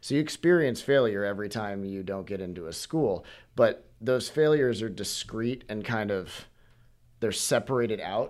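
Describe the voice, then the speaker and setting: With an American accent, a man in a normal speaking voice talks at a moderate pace and medium pitch, his intonation lively over a very clean recording with a silent background. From Washington, US Pacific Northwest. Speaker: medical student. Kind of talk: casual chat.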